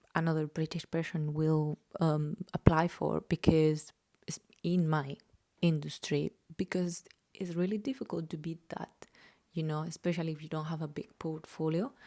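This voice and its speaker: A woman with a slight Spanish accent speaks at a very deep, low pitch in a dark, mellow tone, with big swings in loudness. The sound is dry and close, with no echo. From Spain. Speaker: journalist and vlogger. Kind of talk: casual vlog monologue. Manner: hesitant, many filler ums.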